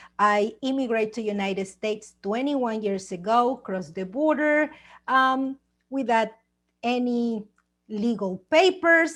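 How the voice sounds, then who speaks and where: Against a quiet background, a woman with a Mexican accent speaks at a very slow pace, her high pitch carried by lively intonation. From Mexico. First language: Spanish. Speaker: author and TV producer. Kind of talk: personal testimony. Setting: video call.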